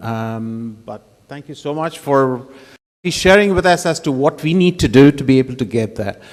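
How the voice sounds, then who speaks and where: At a moderate pace, a man is talking. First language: Arabic. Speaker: conference moderator. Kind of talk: moderating a conference session. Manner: halting, with many fillers.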